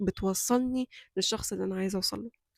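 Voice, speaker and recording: In a dry, close recording with no echo, a woman of medium pitch talks at a moderate pace with fairly even intonation. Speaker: YouTuber. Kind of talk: motivational vlog talk. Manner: loud voice by nature, trying to control.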